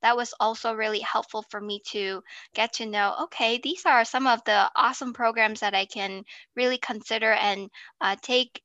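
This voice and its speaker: A woman with a fairly high voice and a bright, sharp tone speaks at a moderate pace with fairly even intonation, the sound dry and close with no echo over a quiet background. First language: not French. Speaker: guest, gap year traveler. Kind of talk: interview. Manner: halting, many fillers.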